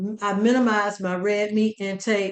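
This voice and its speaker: An unremarkable speaking voice from a woman, fairly high in pitch, at a fairly slow pace. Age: 60s. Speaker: chef and dietitian giving a cooking demo. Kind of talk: cooking demonstration. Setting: conference demo, on camera.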